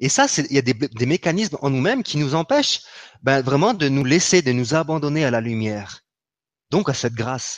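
A man speaks at a fairly high pitch. His pace is moderate, with ordinary pitch variation. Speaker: spiritual healer. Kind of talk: spiritual teaching talk. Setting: live online broadcast. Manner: gentle and soft.

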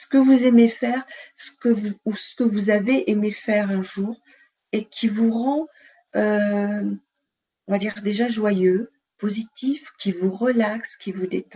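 Somewhat breathy and fairly high-pitched, a woman speaks at a very slow pace with long, frequent pauses. Her loudness swings widely. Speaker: nurse and sophrologist. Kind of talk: guided relaxation session; interview. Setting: live video stream. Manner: calm, soothing.

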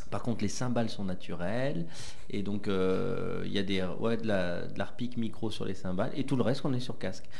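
Very even in loudness, a man speaks at a moderate pace with fairly low pitch and ordinary pitch variation. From France, Haute-Loire. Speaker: rock band member. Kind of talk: radio interview. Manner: halting, repeats words.

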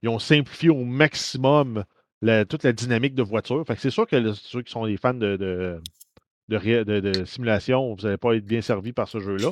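A man's medium-pitched voice is captured with a dry, close sound and no echo. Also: quiet background. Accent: Quebec. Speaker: podcast co-host. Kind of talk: casual chat.

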